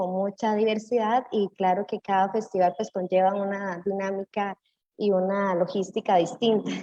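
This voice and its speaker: A woman with a dark, mellow tone speaks at a fairly slow pace, recorded dry and close with no echo. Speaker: municipal cultural manager. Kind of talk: panel discussion.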